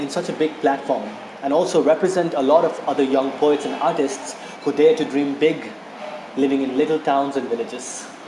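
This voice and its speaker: Noticeable background noise surrounds a man speaking at a moderate pace. His fairly high voice keeps fairly even intonation. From Nepal. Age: 20s. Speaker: spoken word poet and teacher. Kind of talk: casual talk to camera, fundraising appeal.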